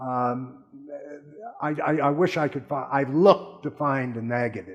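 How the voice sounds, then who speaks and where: Fairly slow speech from a man at medium pitch, with ordinary pitch variation and noticeable background noise. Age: 70s. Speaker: dental patient giving testimonial. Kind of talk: testimony. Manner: animated.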